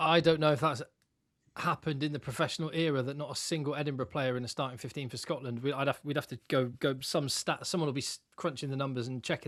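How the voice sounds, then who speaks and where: In a very clean recording with a silent background, a man with an English accent talks very fast with fairly even intonation. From England. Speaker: rugby podcast co-host. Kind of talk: casual chat.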